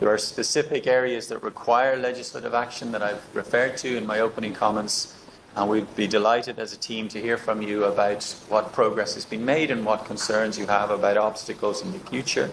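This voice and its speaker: With an Irish accent, a man speaks at a fairly quick pace and medium pitch, his intonation fairly even over noticeable background noise. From Ireland. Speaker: election observation mission leader. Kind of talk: formal meeting address. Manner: formal, with frequent hesitations.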